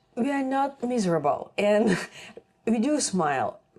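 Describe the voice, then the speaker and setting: Speaking at a moderate pace in a Russian accent, a woman uses lively intonation and a fairly high pitch. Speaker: nutrition content creator. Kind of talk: casual chat. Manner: halting.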